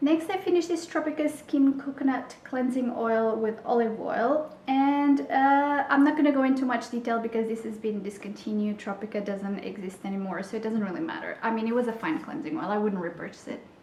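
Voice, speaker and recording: The speech runs at a fairly quick pace with lively intonation and hardly any pauses. Audible room echo and noticeable background noise come through. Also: woman, high pitch for a woman. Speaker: beauty vlogger. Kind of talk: product review vlog.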